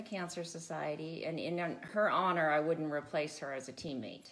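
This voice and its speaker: Audible room echo around a woman's voice at a moderate pace. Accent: Californian. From California, Santa Barbara County mountains. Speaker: off-road motorcycle racer. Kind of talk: casual chat. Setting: home.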